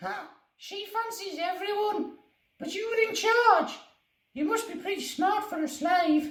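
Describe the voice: A put-on character voice at an extremely high pitch moves at a moderate pace with long, frequent pauses and a slight echo.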